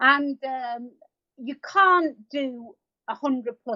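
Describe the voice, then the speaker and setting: A woman is speaking. She has an English accent. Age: 50s. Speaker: marathon runner and animal sanctuary owner. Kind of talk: interview.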